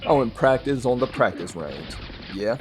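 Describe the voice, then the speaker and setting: Music plays behind a man talking at a fairly quick pace. His pitch varies in an ordinary way. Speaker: gaming youtuber. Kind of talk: casual tutorial. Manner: stuttering in places; conversational, filler-heavy.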